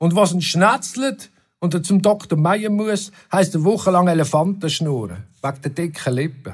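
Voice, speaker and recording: Pitched high, this man speaks at a moderate pace. His pitch variation is ordinary. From Switzerland, Oberbaselbiet. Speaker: musician and author. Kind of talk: reading aloud.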